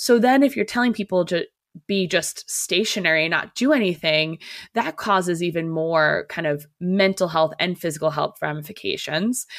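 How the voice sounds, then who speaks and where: Fairly low in pitch, a woman with an American accent speaks at a moderate pace with ordinary pitch variation. The recording is very clean, with a silent background. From US Northeast. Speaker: holistic physical therapist. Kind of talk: interview, casual conversation.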